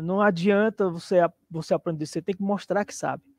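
Speaking at a moderate pace, a man with a high pitch keeps a monotone, flat intonation in a dry, close sound with no echo. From Brazil, Teresina, Piauí. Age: 40s. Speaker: junior programmer, former musician. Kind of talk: live interview.

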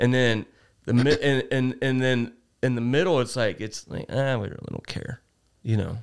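At a moderate pace, a man talks with an American accent. His medium pitch holds a fairly even intonation. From Cincinnati, Ohio. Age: 40s. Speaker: podcast guest. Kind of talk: casual chat. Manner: halting.

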